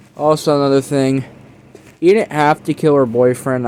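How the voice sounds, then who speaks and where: Noticeable background noise sits behind the voice. A man speaks at a moderate pace with fairly even intonation. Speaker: movie reviewer. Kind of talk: casual video review.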